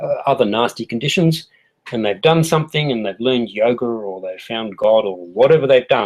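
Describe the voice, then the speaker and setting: A man with an Australian accent speaks fairly quickly at medium pitch, with ordinary pitch variation. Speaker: health educator. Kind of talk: tutorial. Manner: casual, with fillers.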